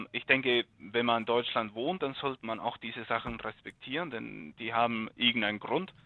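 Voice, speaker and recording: A man with a non-native accent speaks at a moderate pace and medium pitch, with ordinary pitch variation and hardly any pauses. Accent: foreign. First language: not German (speaking German). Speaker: car hobbyist, podcast listener. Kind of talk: casual chat. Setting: remote call from home.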